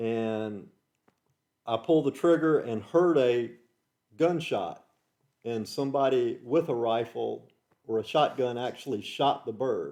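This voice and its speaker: In an American accent, a man speaks at a medium pitch with a dark, mellow tone and ordinary pitch variation. His pace is fairly slow, broken by long, frequent pauses. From US South, Georgia. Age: 60s. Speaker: host's father, interviewee. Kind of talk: casual chat.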